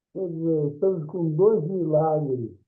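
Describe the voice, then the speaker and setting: A man is speaking. Music plays in the background. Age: 80s+. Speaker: retired judge, event moderator. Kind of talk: panel moderation.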